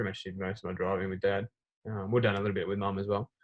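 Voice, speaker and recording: A man with an Australian accent, fairly low in pitch, talking at a very fast pace. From Australia, Melbourne. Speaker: racing driver, driving team member. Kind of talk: casual interview.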